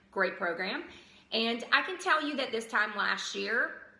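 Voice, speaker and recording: A woman with a slight Southern US accent, amid noticeable background noise and audible room echo. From US South, outside Atlanta, Georgia. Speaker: vlogger and parent advisor. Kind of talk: casual vlog. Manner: hesitant, many ums.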